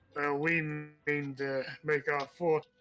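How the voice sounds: Someone uses a put-on character voice at a low-to-middle pitch, delivered with monotone, flat intonation.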